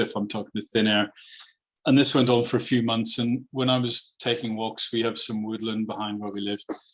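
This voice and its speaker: A man with a Northern Irish accent talks at a fairly quick pace in a medium pitch, his intonation flat and monotone. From Northern Ireland. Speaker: mediator and children's author. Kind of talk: podcast interview. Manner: hesitant, many fillers and repeats.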